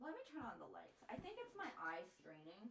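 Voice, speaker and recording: A woman's high voice in an American accent, with very wide pitch swings and audible room echo. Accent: slight southern US accent at times. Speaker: art streamer. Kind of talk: casual chat. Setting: live stream.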